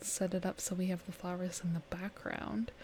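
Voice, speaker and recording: A woman whispers. She is soft-spoken. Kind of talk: ASMR gaming let's play. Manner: whispered, soft-spoken.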